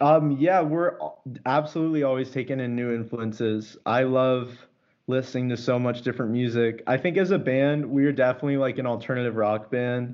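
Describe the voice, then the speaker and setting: A man with a Californian accent and a medium pitch speaks at a fairly quick pace with fairly even intonation. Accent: Californian American. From Los Angeles, California. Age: 20s. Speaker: musician. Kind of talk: interview.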